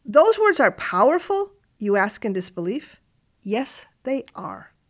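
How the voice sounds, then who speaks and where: The pace here is fairly slow, and the speaker is a woman. Her recording is very clean, the background silent. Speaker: radio commentator. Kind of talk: scripted radio essay with dramatic, storytelling narration. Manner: formal, reflective.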